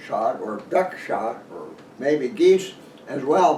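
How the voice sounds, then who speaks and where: A man talks at a very slow pace in a high pitch. Audible room echo surrounds his voice. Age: 80s+. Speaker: hunting author. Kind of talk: casual talk to camera. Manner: halting.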